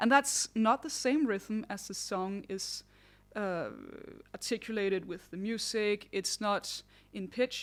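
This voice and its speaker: At a moderate pace, a woman with a non-native accent and a fairly high pitch speaks with ordinary pitch variation on a very clean recording with a silent background. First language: not English. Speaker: singer and vocal vlogger. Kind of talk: tutorial. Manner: conversational.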